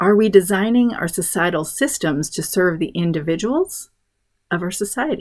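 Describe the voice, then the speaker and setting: At a moderate pace, a woman speaks in an unremarkable speaking voice of medium pitch. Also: lively intonation. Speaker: podcast host, homeschool mom. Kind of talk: scripted solo podcast monologue.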